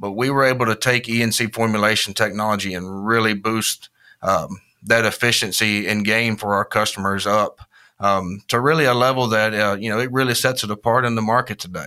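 On a very clean recording with a silent background, a man with a Southern US accent speaks at a fairly quick pace, using a fairly low pitch, a bright, sharp tone and fairly even intonation. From Mississippi. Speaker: agricultural brand manager. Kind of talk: interview.

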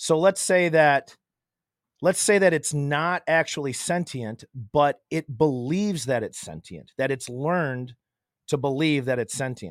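In a very clean recording with a silent background and a dry, close sound with no echo, a man with an ordinary speaking voice speaks at a fairly slow pace, his fairly high pitch varying in an ordinary way. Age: 40s. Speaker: contractor and podcast guest. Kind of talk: casual chat.

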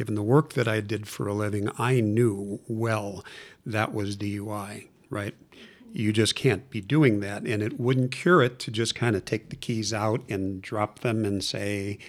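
A man with a plain, everyday voice and an American accent talks at a moderate pace in a fairly low pitch with ordinary pitch variation. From US Midwest, Chicago. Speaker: recovering alcoholic, former lawyer. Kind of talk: personal testimony.

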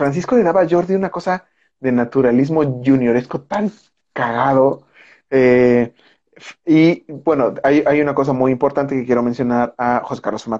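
Ordinary pitch variation marks this man's dark, mellow voice with a Mexican accent. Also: medium pitch for a man, moderate pace. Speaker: film director. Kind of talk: casual chat.

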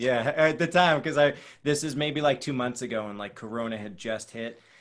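An American man with an ordinary speaking voice, ordinary pitch variation and a moderate pace, on a very clean recording with a silent background. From Boston area, US. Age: 30s. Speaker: breath coach and actor. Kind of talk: casual chat.

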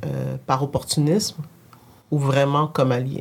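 This woman's voice sits at a very deep, low pitch. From Quebec. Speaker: tech entrepreneur. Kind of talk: casual conversation.

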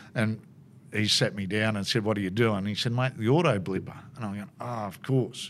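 Here a man talks with an Australian accent at a fairly low pitch. His pace is fairly quick, with ordinary pitch variation. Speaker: motorsport commentator. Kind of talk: casual interview, storytelling. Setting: racetrack. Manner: chatty, laughs often.

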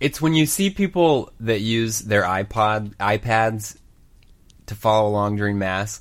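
A man with an American accent talks at a fairly slow pace in a plain, everyday voice, fairly low in pitch with ordinary pitch variation. The recording is very clean, with a silent background. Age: 20s. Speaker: podcast co-host. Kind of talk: casual chat.

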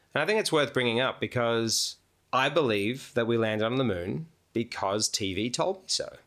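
On a very clean recording with a silent background, a man with a medium pitch speaks at a moderate pace with big swings in loudness. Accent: Australian. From Melbourne, Australia. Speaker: photographer and composer, host's husband. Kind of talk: casual chat. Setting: at home dining room table.

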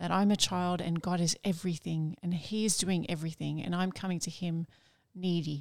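A woman speaks at a moderate pace with a fairly low pitch and fairly even intonation, on a very clean recording with a silent background. She has an unremarkable speaking voice. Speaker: nun and podcast co-host. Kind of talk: casual discussion of a spiritual book.

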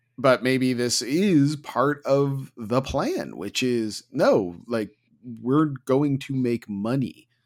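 In a very clean recording with a silent background, a man talks very slowly. He has an American accent and a medium pitch. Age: 40s. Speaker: podcast host. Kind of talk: casual chat.

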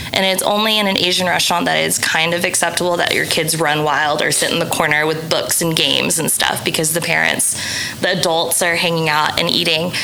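A woman with an American accent speaks at a fairly quick pace in a fairly low pitch, with monotone, flat intonation and very even loudness. Audible room echo and noticeable background noise are present. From Oklahoma City, US. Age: 30s. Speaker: food blogger. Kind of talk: casual chat.

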